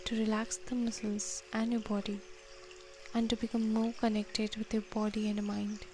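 Fairly high-pitched woman's voice, soothing and gentle in tone, with fairly even intonation over music in the background. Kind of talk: guided meditation. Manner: slow, soothing and gentle, with long pauses between instructions; warm, encouraging and inviting.

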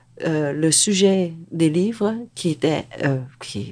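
On a very clean recording with a silent background, a woman speaks with a dark, mellow tone at a fairly low pitch. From Vietnam, raised in Quebec from age ten. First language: Vietnamese (speaking Chinese). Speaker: novelist. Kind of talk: interview. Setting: studio.

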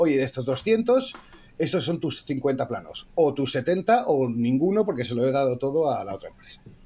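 Dark and mellow in tone, this man's voice sits at a fairly high pitch. His intonation is lively. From Asturias, Spain. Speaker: visual effects producer. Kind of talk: casual chat.

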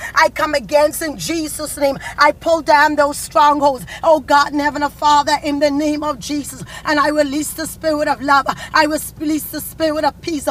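A woman's high, intense voice holds a flat monotone over noticeable background noise. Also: moderate pace. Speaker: prayer leader. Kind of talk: fervent prayer. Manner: fervent, intense, pleading; forceful, commanding when rebuking evil.

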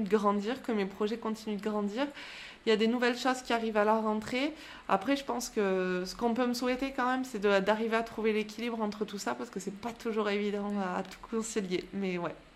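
A woman speaks at a moderate pace with a fairly high pitch. Her intonation is fairly even. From France, Aubrac plateau (Aveyron/Lozère area). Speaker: fitness coach and podcast host. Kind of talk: interview. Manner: hesitant.

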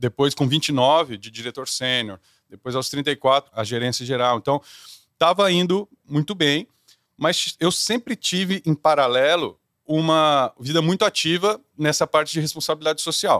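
Fairly high in pitch, a man uses an ordinary speaking voice at a fairly slow pace with ordinary pitch variation, on a very clean recording with a silent background and a dry, close sound with no echo. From Brazil. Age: 30s. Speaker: corporate executive and singer. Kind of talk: interview.

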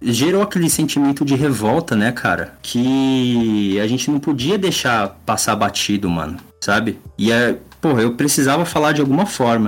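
In a normal speaking voice, a man talks at a moderate pace and medium pitch, with lively intonation and very even loudness. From São Paulo area, Brazil. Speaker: illustrator and comic artist. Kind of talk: casual chat.

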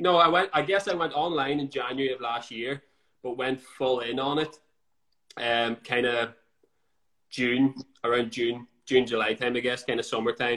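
A man with a Northern Irish accent speaks at a moderate pace with long, frequent pauses. His bright, sharp tone sits at a medium pitch with ordinary pitch variation. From Northern Ireland. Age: 20s. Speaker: fitness coach. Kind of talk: casual chat. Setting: Instagram live.

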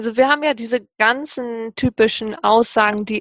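Fairly slow and fairly even in intonation, a woman speaks over a quiet background. The sound is dry and close, with no echo. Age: 30s. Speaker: engineer. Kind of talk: interview. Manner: hesitant, many fillers.

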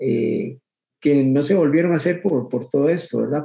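With a Costa Rican accent, a man speaks in a dark, mellow tone at a fairly high pitch. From Costa Rica, Guadalupe (Goicoechea). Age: 50s. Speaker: swing and bolero dancer. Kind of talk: interview. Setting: video call. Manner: halting, many repetitions.

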